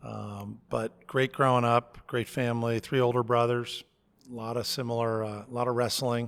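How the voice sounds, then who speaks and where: A man speaks in an American accent at a moderate pace. His medium-pitched voice stays monotone and flat. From US Northeast, Connecticut near New York City. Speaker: college president. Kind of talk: podcast interview.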